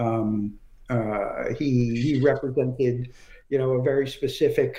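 A man with an American accent at a fairly slow pace, medium pitch, somewhat breathy delivery and a dark, mellow tone. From US Northeast, Brooklyn, New York. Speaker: comic book writer and former editor. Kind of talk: interview.

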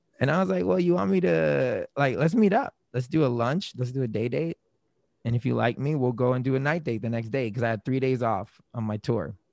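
An ordinary speaking voice from a man at medium pitch, fairly quick in pace, dry and close with no echo, in a very clean recording with a silent background. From Florida, US (born in Germany, military family). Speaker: podcaster and musician. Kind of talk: casual interview chat.

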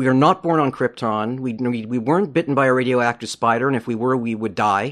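A man with a Montreal accent, medium pitch, ordinary pitch variation and a fairly quick pace. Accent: Montreal English Canadian. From Montreal, Quebec. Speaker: comic book creator. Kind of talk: interview conversation.

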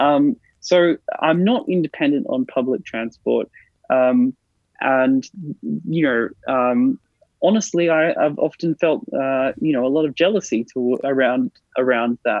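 A man with an Australian accent speaks at a fairly slow pace with lively intonation and very even loudness. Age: 30s. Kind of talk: interview.

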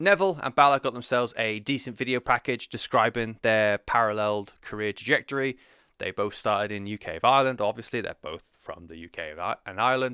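A man with a British accent and a bright, sharp tone talks at a very fast pace at a medium pitch, with hardly any pauses, lively intonation and big swings in loudness, in a very clean, dry, close recording with no echo and a silent background. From Britain. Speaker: wrestling podcast host. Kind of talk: solo podcast monologue. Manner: casual, rambling with fillers.

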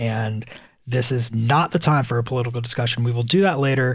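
A man speaks at medium pitch and a fairly quick pace, somewhat breathy, with fairly even intonation. The recording is very clean with a silent background. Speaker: podcaster. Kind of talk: personal monologue. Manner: casual, hesitant.

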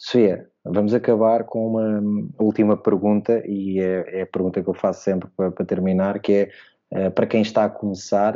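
At a moderate pace, a man with a European Portuguese accent speaks in a fairly low pitch with monotone, flat intonation. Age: 30s. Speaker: basketball podcast host. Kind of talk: casual interview.

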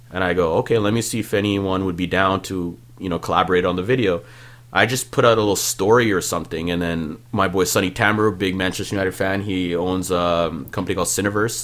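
A very deep, low-pitched man at a very fast pace, his intonation fairly even. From Ontario, Canada (Malton, Peel Region). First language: Punjabi. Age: 30s. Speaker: music producer. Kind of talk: casual chat. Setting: studio.

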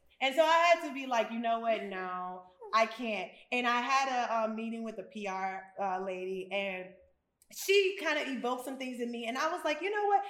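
The speaker's pitch swings very widely at a moderate pace. Audible room echo surrounds the voice. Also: woman, fairly high pitch for a woman. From US Midwest/South (Memphis and Chicago). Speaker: spa owner. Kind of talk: casual chat. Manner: animated.

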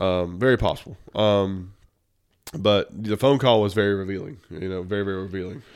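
Someone with a Southern US accent talks at a fairly quick pace with ordinary pitch variation on a very clean recording with a silent background. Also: man, fairly low pitch for a man. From US South. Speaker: podcast host. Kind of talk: casual chat.

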